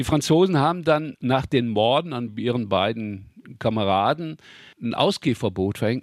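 A man with a plain, everyday voice, medium pitch and lively intonation speaks at a moderate pace in a very clean recording with a silent background and a dry, close sound with no echo. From Ruhr area, Germany. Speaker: local history author. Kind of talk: interview, storytelling.

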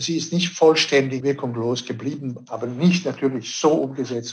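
A man with a non-native accent talks at a medium pitch. His voice sounds somewhat breathy. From Switzerland. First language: not German (speaking German). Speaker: director of a conservation organisation. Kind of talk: radio interview.

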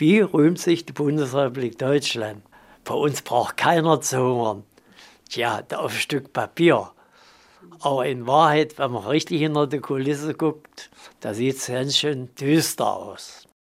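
Using long, frequent pauses, a man talks at a very slow pace. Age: 70s. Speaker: homeless pensioner. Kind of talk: interview.

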